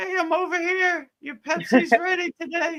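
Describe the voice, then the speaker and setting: Squeaky and pitched extremely high, a put-on character voice at a moderate pace. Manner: tempting, coaxing.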